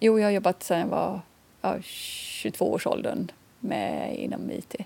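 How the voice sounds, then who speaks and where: A woman speaks in a western Swedish accent. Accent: non-Scanian, western Swedish. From Swedish west coast, Kungsbacka near Gothenburg. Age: 50s. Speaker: visually impaired association chair. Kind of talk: interview. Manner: hesitant, with fillers.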